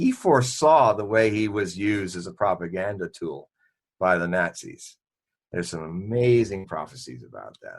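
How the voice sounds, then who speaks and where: Over a quiet background, a man with a normal speaking voice talks at a fairly low pitch with lively intonation. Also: moderate pace, big swings in loudness. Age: 60s. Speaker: Nostradamus expert and forecaster. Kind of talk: interview.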